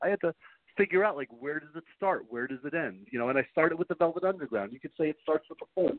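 A man speaks very fast with a New York accent. His pitch is fairly high and his intonation is lively. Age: 50s. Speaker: author. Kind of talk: interview. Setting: phone call.

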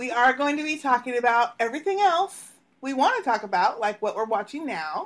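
In an American accent, a woman with a high pitch talks at a fairly quick pace in an animated tone, her pitch swinging very widely. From Texas, Dallas. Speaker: podcast host. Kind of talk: casual chat.

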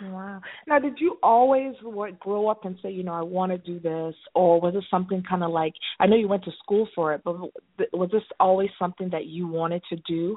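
Speaking at a fairly quick pace, a woman uses a medium pitch with ordinary pitch variation. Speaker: radio show host. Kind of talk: radio interview. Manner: animated.

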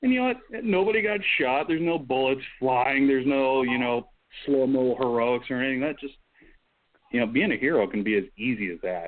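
A man with a normal speaking voice talks at a fairly quick pace, medium pitch and lively intonation. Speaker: real-life superhero guest. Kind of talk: casual group chat.

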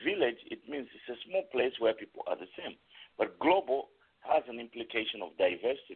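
This man talks at a moderate pace, his loudness swinging widely. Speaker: panelist. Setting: phone call-in panel.

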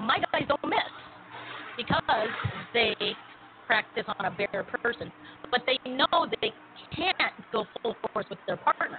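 A woman with a high pitch speaks at a fairly slow pace, her pitch swinging very widely. Noticeable background noise is present. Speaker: radio host. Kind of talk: casual chat. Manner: animated.

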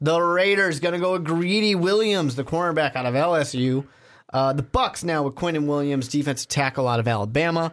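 In a normal speaking voice, a man talks at a fairly quick pace with a fairly high pitch, ordinary pitch variation and very even loudness, on a very clean recording with a silent background. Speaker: podcast host. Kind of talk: casual chat.

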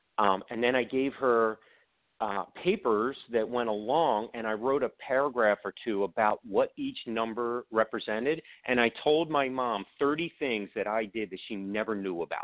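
A man with an American accent speaks in a normal speaking voice at medium pitch, at a moderate pace with ordinary pitch variation. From Baltimore, Maryland. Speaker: author and video producer. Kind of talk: casual interview.

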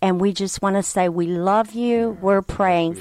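A woman with an American accent talks in a normal speaking voice, recorded very cleanly against a silent background. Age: 60s. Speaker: ministry leader. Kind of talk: interview.

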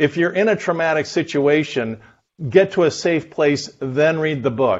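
With an American accent, a man speaks in a plain, everyday voice, his pitch fairly high and its variation ordinary. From Southern California. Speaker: economist and author. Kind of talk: interview.

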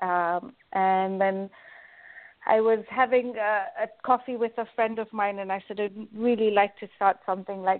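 A woman speaks at a fairly slow pace in a medium pitch. Her intonation is monotone and flat. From Kenya. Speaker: life coach and magazine editor. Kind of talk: interview.

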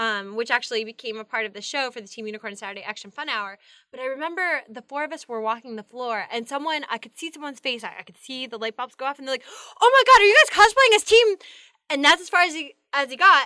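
Very fast and raised, a woman projects with an American accent at a high pitch, a bright, sharp tone, very wide pitch swings and big swings in loudness, on a very clean recording with a silent background and a dry, close sound with no echo. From Pennsylvania, US. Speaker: actress and cosplayer. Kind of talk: casual interview chat.

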